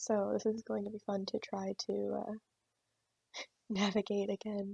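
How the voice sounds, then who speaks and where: Soft-spoken and somewhat breathy, a woman is heard. She keeps a moderate pace. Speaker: tech hobbyist video creator. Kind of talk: screen-recorded tutorial walkthrough. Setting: closet at client work site. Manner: halting, many fillers.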